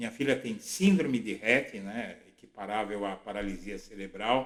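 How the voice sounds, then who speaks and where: With fairly even intonation, an ordinary speaking voice proceeds at a moderate speed. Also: man, fairly low pitch for a man. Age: 60s. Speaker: political blogger. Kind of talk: political commentary monologue.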